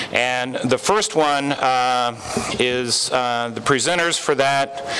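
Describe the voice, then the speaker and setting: There is noticeable background noise behind a man whose intonation is fairly even. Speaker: company founder. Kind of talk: award ceremony speech.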